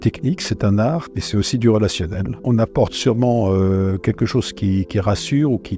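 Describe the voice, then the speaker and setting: Music plays in the background as a man speaks at a fairly slow pace. His pitch is fairly low, with ordinary pitch variation. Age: 70s. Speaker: general practitioner. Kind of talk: interview testimony. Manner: halting, frequent hesitations and repetitions.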